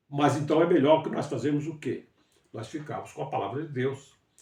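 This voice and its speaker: A somewhat breathy, dark, mellow voice at a moderate pace. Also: man. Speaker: bible teacher. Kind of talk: livestream bible study. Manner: halting.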